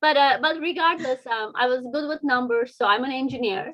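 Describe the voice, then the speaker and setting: A woman's high-pitched voice with a Turkish accent. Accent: non-native, Turkish. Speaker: engineer and children's book author. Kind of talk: interview. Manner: hesitant, many fillers.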